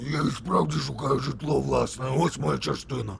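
A raspy, cartoonish character voice swings very widely in pitch at a moderate pace. Clear background noise sits behind it. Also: man, medium pitch for a man. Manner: repeats one grunting phrase.

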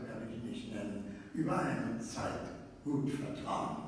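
Strong room echo and light background noise accompany a man's voice. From Berlin. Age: 80s+. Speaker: actor. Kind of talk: speech to a live reading audience. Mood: warm, lightly humorous. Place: hall. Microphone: camera far.

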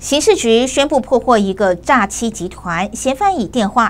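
Speaking at a fairly slow pace, a woman uses lively intonation at a fairly high pitch. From Taiwan. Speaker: news anchor. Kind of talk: news reading. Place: studio. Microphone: lapel.

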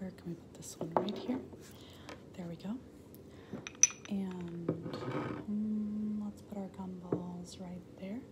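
A woman at a very slow pace, long and frequent pauses, loud background noise behind her. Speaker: ASMR creator. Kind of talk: ASMR roleplay, friendly chat with viewers. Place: home room. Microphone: phone near.

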